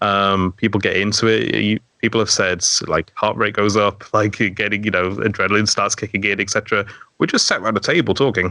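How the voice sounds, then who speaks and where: A man's fairly low voice with an English accent, bright and sharp in tone, very even in loudness, fairly even in intonation, at a fairly quick pace. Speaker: dungeon master and storyteller. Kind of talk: casual chat. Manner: captivating storytelling.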